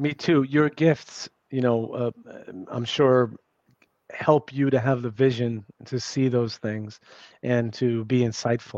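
A man in an American accent at a medium pitch, with a very slow pace and fairly even intonation, in a dry, close sound with no echo and a quiet background. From New York City. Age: 50s. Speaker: author and journalist. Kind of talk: casual interview chat. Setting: remote call.

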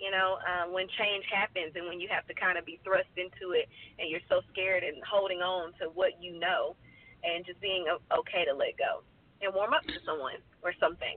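The woman here keeps a moderate pace. Background noise is noticeable throughout. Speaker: singer. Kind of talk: interview.

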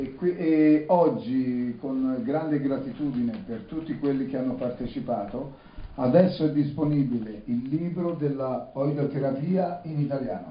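Spoken at a fairly slow pace with ordinary pitch variation, the clip has audible room echo and noticeable background noise. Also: man, fairly high pitch for a man. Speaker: interpreter. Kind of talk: live interpreting.

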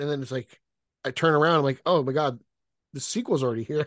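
A man's plain, everyday voice, fairly high in pitch with ordinary pitch variation, in a dry, close sound with no echo. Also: quiet background. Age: 30s. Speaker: website contributor. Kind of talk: casual chat.

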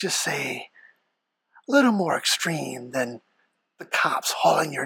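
A put-on character voice at a fairly slow pace. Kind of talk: sinister horror narration. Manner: ominous, condescending.

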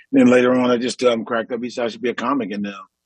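A man's monotone, flat delivery in an American accent, with a dry, close sound and no echo. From US East Coast, Washington DC. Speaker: comedian. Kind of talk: casual chat. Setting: video call.

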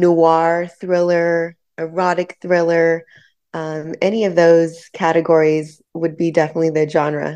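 A woman speaks in a fairly low voice at a fairly slow pace. She has an unremarkable speaking voice. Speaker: filmmaker. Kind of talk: radio interview. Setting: phone call.

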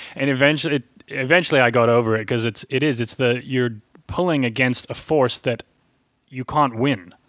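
Speaking fairly quickly, the man uses an ordinary speaking voice at a medium pitch, with ordinary pitch variation. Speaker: podcast host and touring musician. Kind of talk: casual chat.

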